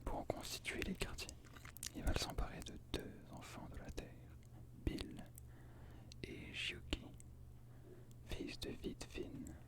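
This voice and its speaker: Someone whispers at a very slow pace with long, frequent pauses, over noticeable background noise. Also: man. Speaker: ASMR creator. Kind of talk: book reading of mythology. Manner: whispered.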